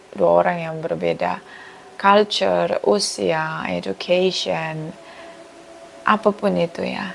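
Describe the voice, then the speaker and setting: A woman speaks at a very slow pace amid noticeable background noise. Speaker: tarot reader. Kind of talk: tarot reading monologue. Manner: casual, chatty.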